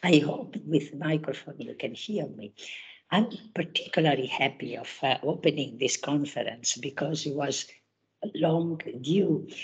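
Somewhat breathy and at a fairly slow pace, a woman speaks with a very deep, low pitch, ordinary pitch variation and big swings in loudness. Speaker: conference chair, academic. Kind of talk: conference opening remarks. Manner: halting.

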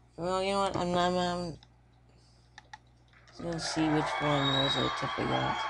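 Noticeable background noise runs under the speech. The pace is fairly slow, with long, frequent pauses. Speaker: gaming let's play commentator. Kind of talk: casual gameplay commentary.

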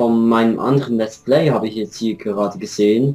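A man speaks at a moderate pace in a medium pitch with ordinary pitch variation. It is a plain, everyday voice. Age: 20s. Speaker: gaming YouTuber. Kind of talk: let's play commentary. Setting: Skype call.

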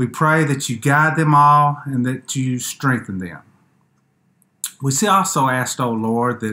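A man with a bright, sharp tone, ordinary pitch variation and a fairly slow pace. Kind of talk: scripture reading and prayer. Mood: calm, solemn. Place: home room. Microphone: webcam.

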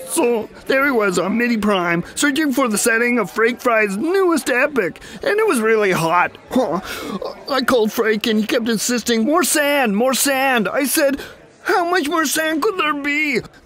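Using a cartoonish character voice at an extremely high pitch, a man talks at a moderate pace over clear background noise. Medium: puppet.

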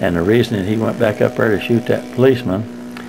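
A man with lively intonation, over noticeable background noise. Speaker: retiree making video letters to friends. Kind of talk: casual video letter.

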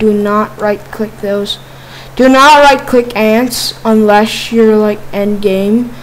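A woman speaks at a fairly high pitch and a very slow pace. Noticeable background noise runs underneath. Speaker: Minecraft YouTuber. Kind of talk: casual gaming commentary. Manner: casual, chatty, animated.

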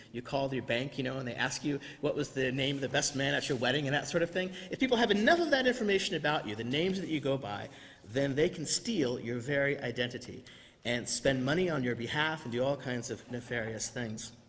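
A man rattles along very fast, his pitch moving in an ordinary way. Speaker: preacher. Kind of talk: sermon. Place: church. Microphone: podium.

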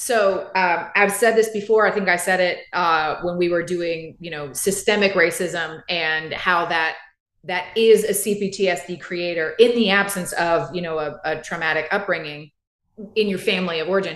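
A woman with an American accent talks at a moderate pace in a fairly low pitch with fairly even intonation. The background is quiet, though some room echo is audible. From US South. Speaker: therapist, podcast co-host; podcast co-host. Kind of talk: casual chat. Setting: live stream. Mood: earnest, reflective. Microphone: video call.

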